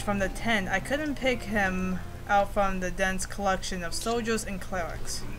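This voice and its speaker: A woman speaks with audible room echo around her voice. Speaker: video game let's player. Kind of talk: reading aloud a visual novel game with commentary; casual aside to viewers. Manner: slow, halting reading.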